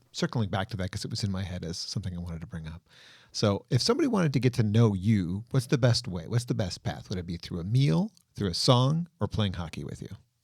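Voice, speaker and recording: A somewhat breathy man with an American accent speaks at a very fast pace and fairly low pitch, with lively intonation and big swings in loudness. The recording is very clean with a silent background. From US Midwest border town. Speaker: podcast host. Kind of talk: interview.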